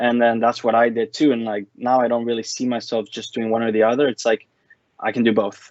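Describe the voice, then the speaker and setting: A man talks at a medium pitch and a fairly quick pace. His intonation is monotone and flat. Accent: Spanish. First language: Spanish. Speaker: former international student. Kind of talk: casual interview.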